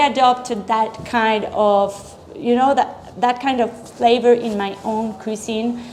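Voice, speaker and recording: With a Spanish accent, a woman talks at a fairly high pitch in a monotone, flat intonation over noticeable background noise. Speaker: chef. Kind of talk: interview. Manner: halting.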